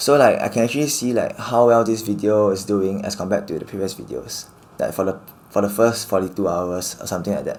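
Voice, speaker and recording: The speech comes at a very fast pace with fairly even intonation, over noticeable background noise. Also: man, fairly low pitch for a man. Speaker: YouTuber. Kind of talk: personal vlog reflection. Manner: speeds up first words, slurred pronunciation; reserved, slightly awkward on camera.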